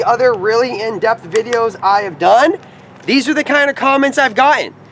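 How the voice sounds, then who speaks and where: Loud and extremely high-pitched, a man speaks at a moderate pace with lively intonation over noticeable background noise. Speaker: paintball equipment reviewer. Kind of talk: tutorial.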